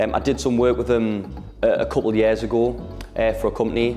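Faint music plays in the background. Over it, a man talks at a fairly quick pace. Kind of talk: casual tour talk. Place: shop.

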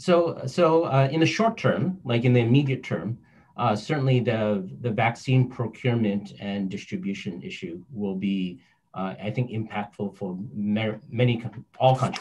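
At a fairly slow pace, a man talks in a medium pitch that sounds somewhat breathy. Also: lively intonation. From North Vancouver, Canada; British Columbia, Canada. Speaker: finance entrepreneur; panelist. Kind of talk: panel discussion. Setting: video call. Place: home room. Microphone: video call.

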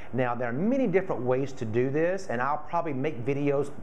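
Very wide pitch swings mark a man's very fast speech over light background noise. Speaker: florist craft demonstrator. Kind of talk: tutorial. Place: home room. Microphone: camera far.

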